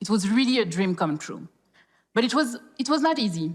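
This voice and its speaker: A woman speaks with a French accent. Her pitch is fairly high. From France, Paris (born in Congo). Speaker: corporate professional, speaker. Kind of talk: public talk.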